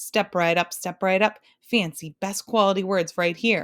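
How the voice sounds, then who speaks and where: In a very clean recording with a silent background, a booming, female-sounding put-on character voice at a middle pitch speaks at a moderate pace. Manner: booming, calling out to a crowd.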